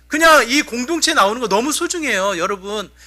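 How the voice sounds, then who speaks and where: A man's extremely high, raised and projected voice at a fairly quick pace, with very wide pitch swings. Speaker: pastor. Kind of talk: sermon. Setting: church.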